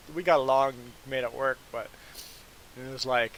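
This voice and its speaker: With noticeable noise in the background, a man delivers his words at a moderate tempo. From Canada. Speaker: gaming livestreamer and former trucker. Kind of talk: casual chat on a gameplay livestream. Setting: live stream.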